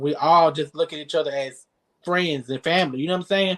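A man with a Southern US accent and a high voice speaks at a fairly quick pace with fairly even intonation. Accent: Southern US (Georgia). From South Georgia, US. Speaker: social media influencer. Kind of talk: casual interview.

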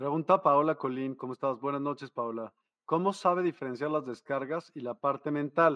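A man with a normal speaking voice, fairly high pitch, ordinary pitch variation, and a moderate pace, in a dry, close sound with no echo against a quiet background. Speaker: live show host. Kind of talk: live-streamed interview. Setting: video call live stream.

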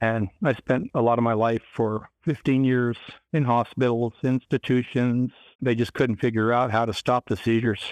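Heard against a quiet background, a plain, everyday voice moves at a moderate pace with very even loudness and a dry, close sound with no echo. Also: man, medium pitch for a man. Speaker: author. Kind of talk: interview.

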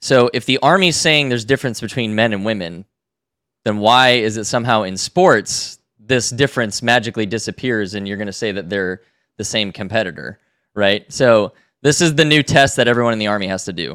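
Speaking at a fairly quick clip, a man with a fairly low pitch and an unremarkable speaking voice uses ordinary pitch variation in a very clean recording with a silent background. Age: 30s. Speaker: podcast host. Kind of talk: casual chat.

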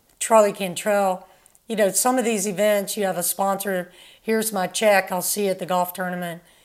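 A woman talks at a moderate pace in a monotone, flat delivery. The recording is very clean, with a silent background. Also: medium pitch for a woman. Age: 60s. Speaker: former professional tennis player. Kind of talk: casual interview.

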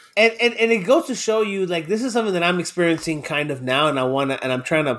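Recorded very cleanly against a silent background, a man with an American accent speaks at a fairly quick pace and a high pitch. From Miami, Florida. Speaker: podcast co-host. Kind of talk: casual chat.

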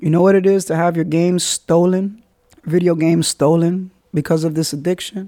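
The voice has a dark, mellow tone and a New York accent. Its intonation stays monotone and flat. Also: man. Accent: New York (Bronx). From New York City, the Bronx. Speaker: podcast host. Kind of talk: personal monologue. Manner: fast.

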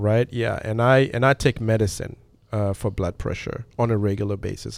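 Over a very clean recording with a silent background, a man speaks at a moderate pace with a French accent, a fairly low pitch and fairly even intonation. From DR Congo and Belgium, French-speaking. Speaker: organic farm executive. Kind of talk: interview. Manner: halting, many fillers.

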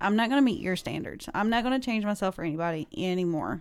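Lively intonation marks this woman's medium-pitched voice. The recording is very clean, with a silent background. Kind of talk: casual chat. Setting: studio.

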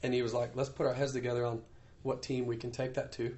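Speaking at a very fast pace in an American accent, the voice is somewhat breathy with monotone, flat intonation. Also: man. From US Midwest, Iowa. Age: 30s. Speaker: professional motocross racer. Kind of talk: casual interview. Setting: on location in Paris.

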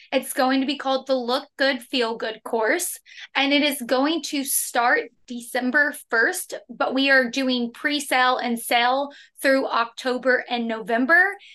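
In an American accent, a woman projects a raised, high-pitched voice with a bright, sharp tone, fairly even intonation and a fairly slow pace. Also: quiet background. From Oklahoma, US. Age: 20s. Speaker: health and nutrition coach. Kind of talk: interview conversation.

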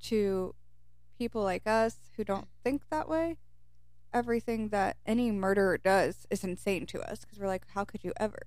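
At a moderate pace, a woman uses a normal speaking voice, pitched in the middle of her range with ordinary pitch variation. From Kentucky, US. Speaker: podcast co-host. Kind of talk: casual chat.

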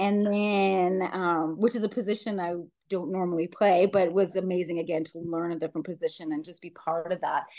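A woman with a Canadian Prairies accent talks at a fairly quick pace with fairly even intonation. Her loudness swings widely. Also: fairly low pitch for a woman. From Saskatchewan, Canada (small town). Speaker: amateur football player and coach. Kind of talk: interview.

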